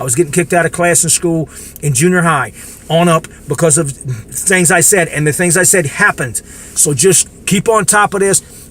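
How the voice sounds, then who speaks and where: Against noticeable background noise, a high-pitched man with an American accent speaks in an animated tone with ordinary pitch variation. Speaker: political commentator vlogger. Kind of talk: casual rant to camera. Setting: in the dark, self-recorded video. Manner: fast.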